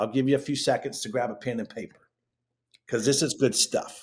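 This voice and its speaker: A man speaks in an animated tone at a moderate pace, his medium-pitched voice somewhat breathy, with ordinary pitch variation. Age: 50s. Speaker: fitness education director. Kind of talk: interview.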